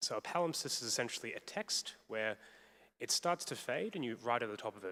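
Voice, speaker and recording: A man talking at a very fast pace, the sound dry and close with no echo. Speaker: academic panel speaker. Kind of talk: panel discussion. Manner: loud.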